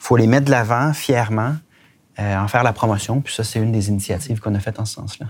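A somewhat breathy man's voice at medium pitch, fairly quick and fairly even in intonation, with big swings in loudness. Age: 40s. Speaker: politician. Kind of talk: interview.

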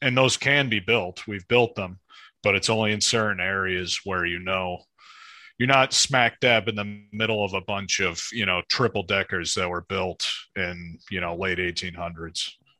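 On a very clean recording with a silent background, a man with an American accent speaks in a serious, bright, sharp tone, his fairly low voice showing ordinary pitch variation. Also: moderate pace. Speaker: real estate developer. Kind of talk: interview.

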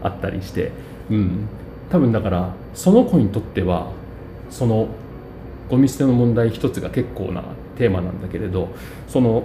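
A man at a moderate pace and fairly low pitch, with ordinary pitch variation and long, frequent pauses, amid noticeable background noise. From Japan, Ueda, Nagano. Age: 40s. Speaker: city councillor. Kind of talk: casual chat. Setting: cafe.

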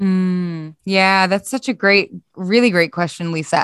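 A woman speaks with a Philadelphia accent at a medium pitch. The recording is very clean, with a silent background. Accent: US East Coast (Philadelphia). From US, Philadelphia. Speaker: organizational psychologist. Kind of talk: podcast interview.

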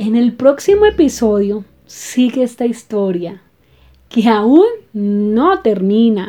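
Her tone dark and mellow, a woman speaks at a very slow pace with lively intonation. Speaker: podcast host, stuttering advocate. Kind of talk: personal storytelling monologue. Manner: halting.

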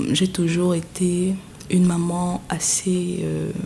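Over noticeable background noise, a woman talks at a fairly low pitch. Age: 20s. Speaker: interviewed mother. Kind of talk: personal testimony.

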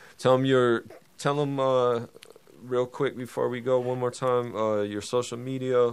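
Here is an unremarkable speaking voice from a man at medium pitch. He talks at a moderate pace. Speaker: podcast host. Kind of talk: casual chat. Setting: studio. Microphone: new mics.

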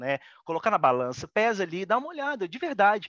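A man at a moderate pace, bright and sharp in tone, dry and close with no echo against a quiet background. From Brazil. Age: 30s. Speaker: photographer. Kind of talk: casual interview.

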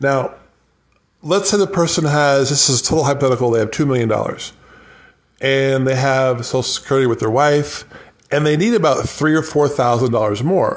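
Fairly quick and fairly high-pitched, a man talks in an unremarkable speaking voice. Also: ordinary pitch variation, very even loudness. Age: 50s. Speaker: financial advisor. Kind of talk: casual solo podcast monologue. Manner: rambling, conversational.

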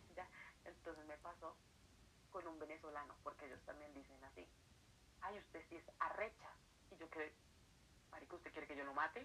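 Talking at a fairly quick pace, a woman with a very deep, low voice uses ordinary pitch variation and leaves long, frequent pauses. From Colombia. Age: 20s. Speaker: writer and accounting student. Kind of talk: casual interview. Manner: quiet, late at night.

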